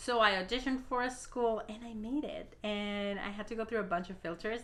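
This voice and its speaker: A woman talks at a fairly quick pace with a fairly high pitch and fairly even intonation. The recording carries audible room echo and noticeable background noise. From Mexico. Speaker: YouTuber and actress. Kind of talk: casual Q&A vlog. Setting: home recording.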